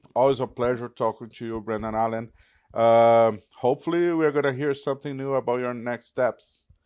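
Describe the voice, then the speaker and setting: Against a quiet background, a man with a Portuguese accent speaks with fairly even intonation. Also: medium pitch for a man, moderate pace. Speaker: MMA journalist. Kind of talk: interview.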